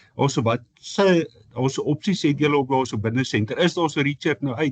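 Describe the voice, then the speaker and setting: A man with a South African accent talks at a fairly quick pace with lively intonation and a somewhat breathy voice. The sound is dry and close with no echo, over a quiet background. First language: Afrikaans. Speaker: sports journalist. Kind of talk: press conference question.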